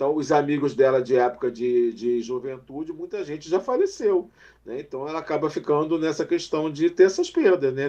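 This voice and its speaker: This man's voice sits fairly high in pitch, with a dark, mellow tone. His pitch varies in an ordinary way. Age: 50s. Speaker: mental health specialist. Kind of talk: casual chat. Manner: halting.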